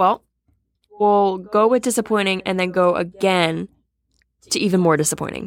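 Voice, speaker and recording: Speaking at a moderate pace with fairly even intonation, a woman leaves long, frequent pauses in a very clean recording with a silent background. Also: medium pitch for a woman. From Massachusetts (Boston area). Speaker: podcast co-host. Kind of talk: casual chat.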